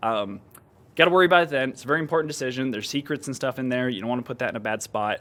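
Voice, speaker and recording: A man's bright, sharp, medium-pitched voice at a very fast pace with ordinary pitch variation, on a very clean recording with a silent background. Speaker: software engineer giving tech demo. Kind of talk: unscripted screen-share tutorial. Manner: casual, filler-heavy.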